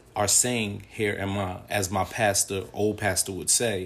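A man's fairly low, somewhat breathy voice with fairly even intonation. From United States. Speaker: podcast host. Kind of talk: monologue.

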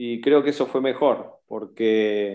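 With a Rioplatense accent, a man talks very slowly at a medium pitch with ordinary pitch variation. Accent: Argentine Rioplatense Spanish. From Argentina, Bahía Blanca. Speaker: metal musician. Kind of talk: interview.

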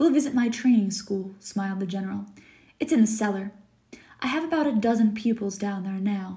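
The clip has someone reading aloud in a plain way.

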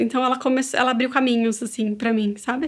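Fairly quick speech from a woman with a high pitch. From Brazil, São Paulo. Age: 30s. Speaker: business owner and mother. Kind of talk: casual interview.

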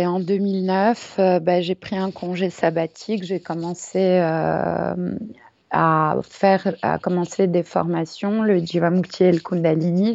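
Her pace is very slow and her intonation monotone and flat. The woman's pitch is fairly low. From Paris, France. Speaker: yoga teacher. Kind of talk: casual interview. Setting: remote call. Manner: hesitant, many fillers.

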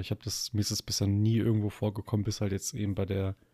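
The voice has a dark, mellow tone and a fairly quick pace, recorded very cleanly against a silent background with a dry, close sound and no echo. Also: man. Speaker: podcast co-host. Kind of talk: casual chat. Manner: halting.

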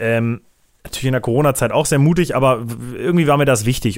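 Speaking very fast, a man holds a medium pitch. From Germany, Braunschweig. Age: 20s. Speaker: content creator. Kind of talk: casual solo podcast monologue. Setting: office.

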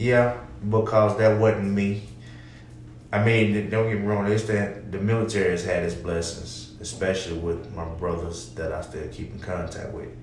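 At a moderate pace, a man with a fairly low pitch and ordinary pitch variation speaks with big swings in loudness over noticeable background noise. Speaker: podcast co-host, military veteran and husband. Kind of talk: casual chat.

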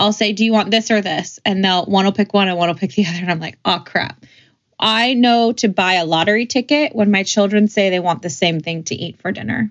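A woman's ordinary speaking voice, medium in pitch, with ordinary pitch variation and a fairly quick pace. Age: 30s. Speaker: podcast co-host. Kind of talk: casual chat.

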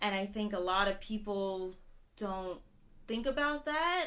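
Bright and sharp in tone, a woman speaks at a medium pitch with ordinary pitch variation. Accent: American. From US, Maryland. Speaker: activist, march organizer. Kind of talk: casual interview. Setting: recording with hosts in Tokyo.

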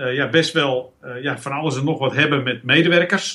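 With a moderate pace and normal pitch movement, this man's voice sits fairly high and has a bright, sharp tone. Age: 50s. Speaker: business owner and coach, former physiotherapist. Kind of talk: casual interview. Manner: halting, many fillers.

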